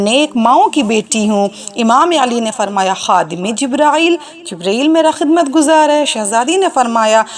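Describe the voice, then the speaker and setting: Her high voice swings very widely in pitch. The woman is heard over noticeable background noise. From India. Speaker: Islamic orator. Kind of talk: religious lecture (majlis) recounting a historical narrative.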